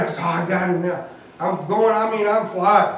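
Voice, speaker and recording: Audible room echo and light background noise surround a man's voice. He has a high pitch with ordinary pitch variation. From US South. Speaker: lay preacher. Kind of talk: sermon. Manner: animated. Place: church.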